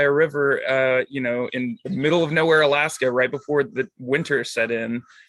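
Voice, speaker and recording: A man speaks at a medium pitch with an American accent. His intonation stays fairly even over noticeable background noise. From Montana. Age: 30s. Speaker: podcaster and activist. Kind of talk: casual interview. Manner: hesitant, many fillers.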